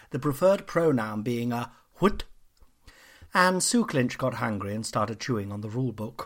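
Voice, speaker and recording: A man speaks at a moderate pace with lively intonation and an animated, theatrical tone. The recording is very clean, with a silent background. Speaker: comedian and podcast host. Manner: chatty, self-interrupting, digressive, with laughs at her own jokes.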